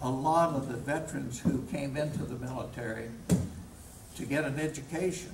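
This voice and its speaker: Over noticeable background noise, a man with a Kentucky accent speaks at a moderate pace with fairly even intonation. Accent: Southern US (Kentucky). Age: 80s+. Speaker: war veteran. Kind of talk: speech to a veterans' group. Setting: live hall talk, poor audio.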